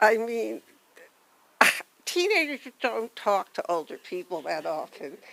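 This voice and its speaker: A woman at a fairly slow pace, with long, frequent pauses and noticeable background noise. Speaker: family friend giving a memorial tribute. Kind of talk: memorial tribute. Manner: soft-spoken.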